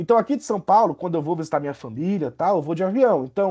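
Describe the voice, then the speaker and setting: A man with a northern Brazilian accent speaks fairly quickly in a high, dark, mellow voice. His intonation is lively, and the background is quiet. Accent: northern Brazilian (Pará), hissing S. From Brazil, Pará (Belém). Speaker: university professor. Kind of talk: lecture. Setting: video call. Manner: halting, many fillers and restarts.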